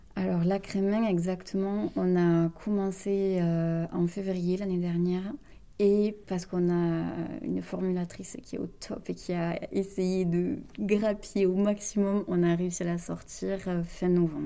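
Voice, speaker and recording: A woman talks at a fairly slow pace. Her tone is dark and mellow, her intonation flat and monotone. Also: medium pitch for a woman. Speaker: cosmetics company co-founder. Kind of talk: radio interview.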